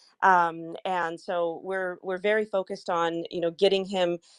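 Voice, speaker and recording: A woman's fairly low, monotone, flat voice with a Bulgarian accent at a moderate pace, in a dry, close sound with no echo. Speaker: crypto project marketer. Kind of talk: online audio space discussion.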